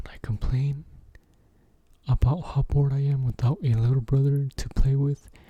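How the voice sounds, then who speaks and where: A man's fairly high, somewhat breathy voice with a dark, mellow tone, fairly even intonation, a moderate pace and long, frequent pauses. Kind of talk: ASMR scary story narration.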